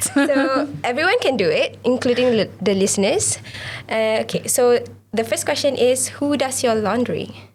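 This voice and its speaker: Against noticeable background noise, a woman speaks at a moderate pace with very even loudness. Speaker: podcast host. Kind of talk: casual chat.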